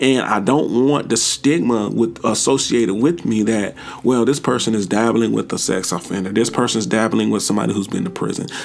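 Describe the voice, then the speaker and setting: A normal speaking voice, a man at a fairly quick pace with hardly any pauses. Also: medium pitch for a man, ordinary pitch variation. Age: 30s. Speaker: podcast host giving relationship advice. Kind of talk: solo monologue. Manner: casual, conversational.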